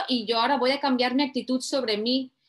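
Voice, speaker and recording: A woman speaks at a high pitch. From Spain, Mediterranean coast (Tarragona, Barcelona, Valencia). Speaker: life coach. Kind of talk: personal testimony.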